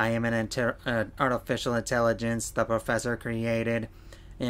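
The speaker offers plain reading aloud.

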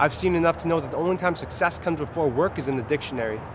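There is noticeable background noise as a man with a fairly high pitch talks at a very fast pace with ordinary pitch variation. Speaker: spoken word poet. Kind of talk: slam poetry performance. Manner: fast, rhythmic, rapped-style delivery. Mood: earnest, uplifting.

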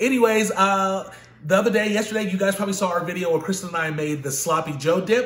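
Audible room echo surrounds a man's high-pitched voice. He talks at a very fast pace with ordinary pitch variation. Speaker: cooking channel host. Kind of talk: casual vlog chat. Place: kitchen. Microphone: phone near.

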